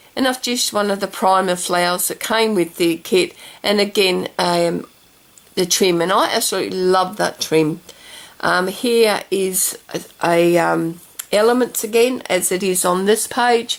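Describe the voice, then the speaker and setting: A woman at a fairly slow pace, her intonation fairly even, with noticeable background noise. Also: medium pitch for a woman. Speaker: craft video maker. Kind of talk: craft tutorial. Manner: halting, stumbling with fillers.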